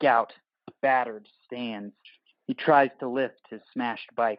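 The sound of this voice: Slow and fairly even in intonation, a man talks at a medium pitch.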